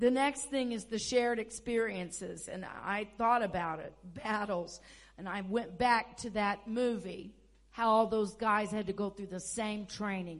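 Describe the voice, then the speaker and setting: The speaker has an American accent and a fairly slow pace. There is audible room echo. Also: woman, fairly high pitch for a woman, ordinary pitch variation, big swings in loudness. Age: 60s. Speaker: pastor. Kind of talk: sermon. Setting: church.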